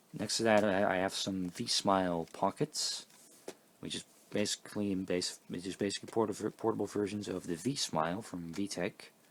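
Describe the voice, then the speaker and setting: Fairly low in pitch, a man talks at a moderate pace. His intonation is fairly even. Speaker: vintage tech collector showing his collection. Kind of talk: casual show-and-tell video. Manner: halting, many repeats and fillers.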